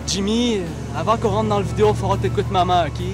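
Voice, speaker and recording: A man is heard in a dry sound with no echo. Clear music plays in the background. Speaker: comic character. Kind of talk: comedy sketch dialogue.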